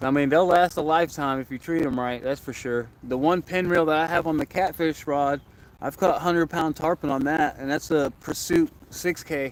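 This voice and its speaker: With an American accent and an unremarkable speaking voice, a man talks at a moderate pace with a fairly high pitch. His intonation is fairly even, and he hardly pauses. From Florida. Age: 20s. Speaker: angler livestreamer. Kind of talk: casual livestream chat. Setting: outdoors by a lake.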